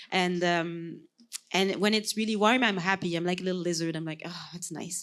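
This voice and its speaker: A woman with a Quebec accent speaks at fairly low pitch, her intonation fairly even while her loudness swings widely. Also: moderate pace. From Quebec, Sherbrooke. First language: French. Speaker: podcast co-host. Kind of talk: casual chat. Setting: stage with audience.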